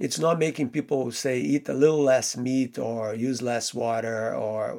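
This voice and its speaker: A man talks at a moderate pace with a Portuguese accent. His pitch varies in an ordinary way. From Brazil. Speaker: theoretical physicist. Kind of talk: interview.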